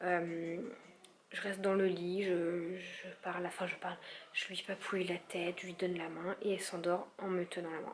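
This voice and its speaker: A woman's medium-pitched, monotone, flat voice at a moderate pace, with noticeable background noise. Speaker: vlogger, young mother. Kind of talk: casual vlog. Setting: at home.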